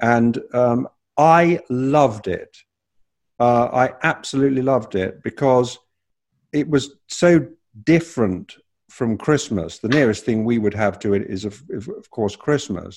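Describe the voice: A man with a British accent, medium pitch, lively intonation and a fairly slow pace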